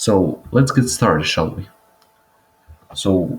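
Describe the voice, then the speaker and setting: Very wide pitch swings mark a man's fairly low voice. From Croatia, Zagreb area. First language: Croatian. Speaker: language teacher. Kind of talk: tutorial.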